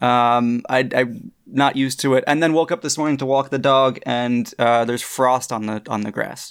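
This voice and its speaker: A man speaks in a plain, everyday voice at a medium pitch and a moderate pace. His intonation is fairly even, and the recording is very clean with a silent background. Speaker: guest on fan podcast. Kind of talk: casual chat.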